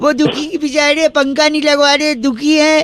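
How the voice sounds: At a moderate pace, a man talks in an extremely high, fairly bright voice with little pitch movement.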